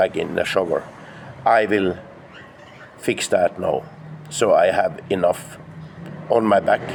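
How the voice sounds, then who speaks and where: Moderately paced male speech over noticeable background noise. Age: 60s. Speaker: fitness vlogger. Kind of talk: casual vlog monologue. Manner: halting.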